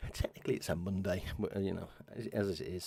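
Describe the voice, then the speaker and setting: Quiet and fairly low-pitched, a man speaks with an English accent. His tone is dark and mellow, and his pace is fairly quick. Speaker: video game streamer. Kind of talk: live gameplay stream commentary. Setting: at home, live stream at 3 am. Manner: talking very quietly.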